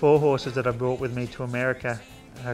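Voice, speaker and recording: A man speaks with an Australian accent at a medium pitch. Music plays behind him. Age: 30s. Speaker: horseman and entertainer. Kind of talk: interview answer.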